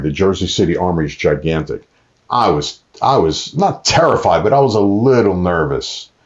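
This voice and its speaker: With a New York accent, a man speaks using lively intonation. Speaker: ring announcer and actor. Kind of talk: casual interview chat.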